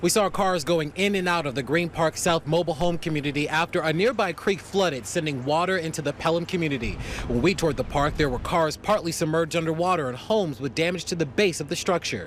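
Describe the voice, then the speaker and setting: Over noticeable background noise, a man with a high voice races along very fast with hardly any pauses and ordinary pitch variation. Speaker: TV news reporter and anchor. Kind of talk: TV news reporter stand-up and package narration.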